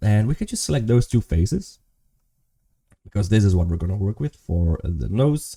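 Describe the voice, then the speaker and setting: Fairly low in pitch with a dark, mellow tone, a man speaks at a moderate pace, somewhat breathily and with lively intonation, leaving long, frequent pauses, in a dry, close sound with no echo. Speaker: 3D modeling tutor. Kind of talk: tutorial. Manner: casual, thinking aloud.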